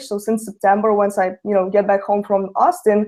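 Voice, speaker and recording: Speaking at a fairly quick pace in a Russian accent, a woman has a fairly high pitch and a dark, mellow tone. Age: young. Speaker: network marketer. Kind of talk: webinar testimony.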